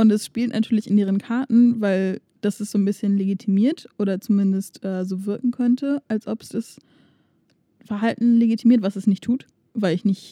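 A woman speaks in a dark, mellow tone at a moderate pace. Her intonation is fairly even. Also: dry, close sound with no echo. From Germany. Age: 20s. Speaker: podcast co-host. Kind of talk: casual chat.

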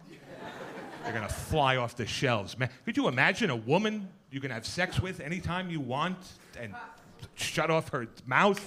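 Over noticeable background noise, a man with a fairly high pitch talks at a moderate pace, his voice making very wide pitch swings and broken by long, frequent pauses. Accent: American. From Queens, New York. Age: middle-aged. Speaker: comedian. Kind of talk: stand-up. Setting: stage with audience.

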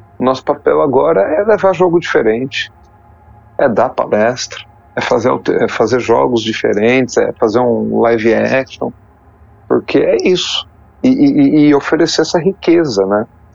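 A man speaks at a fairly slow pace with long, frequent pauses and very even loudness. There is noticeable background noise. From Brazil, São Paulo state and Poços de Caldas, Minas Gerais. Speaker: YouTuber documenting tabletop RPG history. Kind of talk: casual interview. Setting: online call recorded on Discord. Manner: halting, many repetitions and fillers.

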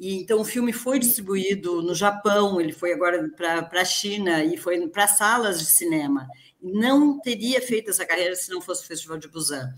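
The speaker's intonation is lively and the pace moderate, with hardly any pauses. Loudness swings widely, and noticeable background noise runs underneath. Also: woman, medium pitch for a woman. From Rio Grande do Sul, Brazil. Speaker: film director. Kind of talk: online panel discussion. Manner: halting.

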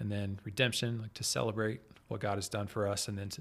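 With an American accent, a man with a fairly low pitch and a somewhat breathy voice speaks at a moderate pace with ordinary pitch variation, on a very clean recording with a silent background. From Kansas City area, US Midwest. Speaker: guest, church worship leader. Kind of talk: casual interview chat.

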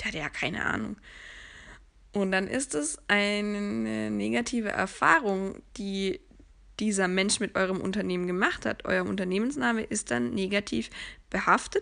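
Her tone is bright and sharp, at medium pitch with very wide pitch swings. The woman keeps a moderate pace over a quiet background. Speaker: sales professional and podcast host. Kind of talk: solo podcast monologue.

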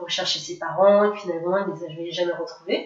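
Noticeable background noise behind a woman of medium pitch with fairly even intonation. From France, near Grenoble. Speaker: adoptee sharing her story. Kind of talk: interview testimony.

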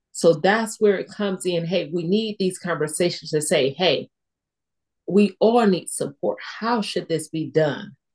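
Somewhat breathy and medium in pitch, a woman speaks at a fairly slow pace with ordinary pitch variation. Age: young. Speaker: stroke survivor podcast host. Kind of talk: casual chat. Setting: video call.

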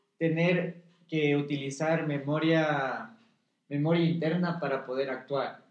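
A man with a fairly high voice speaks in an animated tone, and the room echo is audible. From Ecuador, Quito (highlands). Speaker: actor. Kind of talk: casual chat.

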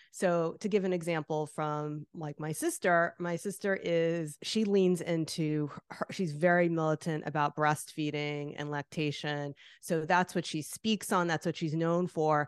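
Speaking fairly slowly with hardly any pauses, a woman with a New Jersey accent keeps her intonation fairly even against a quiet background. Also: fairly low pitch for a woman, dry, close sound with no echo. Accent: New Jersey American. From New Jersey, US. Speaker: artist and author. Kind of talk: interview chat.

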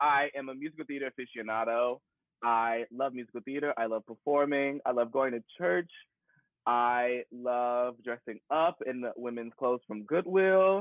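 Using an ordinary speaking voice, a man with an American accent talks at a moderate pace and medium pitch, with ordinary pitch variation. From US, Paducah, Kentucky. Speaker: musical theater performer. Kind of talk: casual chat. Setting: live stream on social media.

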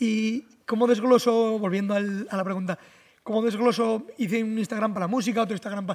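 A man's high voice at a fairly quick pace, with fairly even intonation. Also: very clean recording, silent background. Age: 20s. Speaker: content creator and mechanic. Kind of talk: casual chat. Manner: fast; exaggerated dubbing-style delivery.

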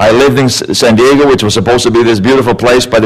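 A man amid audible room echo and noticeable background noise. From Sweden. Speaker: guest speaker, life coach. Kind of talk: sermon. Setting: church with congregation. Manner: animated.

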